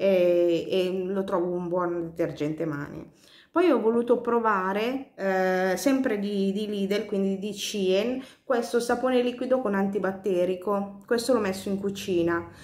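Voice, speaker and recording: Audible room echo surrounds a woman who speaks at a fairly slow pace with medium pitch and ordinary pitch variation. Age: 40s. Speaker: beauty vlogger. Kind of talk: product review vlog. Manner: hesitant, many fillers. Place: home room. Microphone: phone near.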